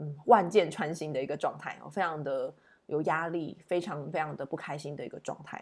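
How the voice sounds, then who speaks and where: A woman's very deep, low voice at a moderate pace. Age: 30s. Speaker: tarot reader and podcast host. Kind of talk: solo podcast monologue, reflective daily tarot reading. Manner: hesitant with many fillers.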